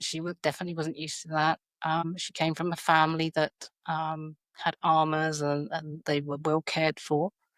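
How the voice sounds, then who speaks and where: Speaking with a British accent, a woman has a very deep, low pitch, monotone, flat intonation and a moderate pace in a dry, close sound with no echo. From South London, England. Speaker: educator. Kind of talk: podcast interview. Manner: hesitant, many fillers.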